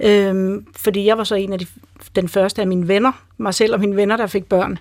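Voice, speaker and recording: An unremarkable speaking voice from a woman, moderately paced and mid-pitched. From Greenland. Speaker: motherhood expert. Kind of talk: radio panel discussion.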